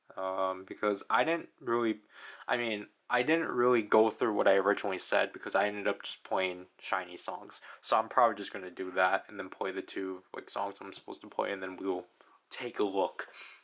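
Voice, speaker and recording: A man talks at a fairly quick pace with ordinary pitch variation and big swings in loudness. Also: fairly low pitch for a man. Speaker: gaming video creator. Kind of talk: gameplay commentary. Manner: unenthusiastic.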